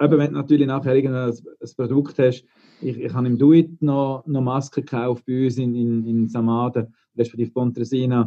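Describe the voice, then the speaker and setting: Flat and monotone, a man talks at a medium pitch and moderate pace. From Switzerland, Engadin. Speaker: laundry operations manager. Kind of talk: casual discussion. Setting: video call.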